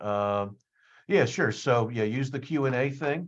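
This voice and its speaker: A medium-pitched man with an American accent against a quiet background. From US Northeast, suburbs of Philadelphia. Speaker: psychology professor. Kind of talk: career talk presentation. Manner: fast; hesitant, many fillers and repetitions.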